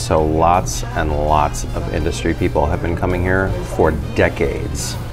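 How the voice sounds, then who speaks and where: A man speaks over clear music in the background. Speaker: drink reviewer. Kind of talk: casual vlog chat. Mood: relaxed, fond. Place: bar.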